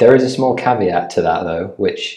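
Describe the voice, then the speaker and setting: The setting is quiet. A man talks at a moderate speed. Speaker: guest. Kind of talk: interview answer. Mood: relaxed, friendly, occasional laughs. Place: meeting room.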